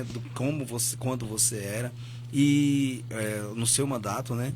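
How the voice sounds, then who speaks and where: A man's fairly even intonation comes through audible room echo and noticeable background noise. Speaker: community radio podcast host. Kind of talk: podcast interview. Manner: soft-spoken.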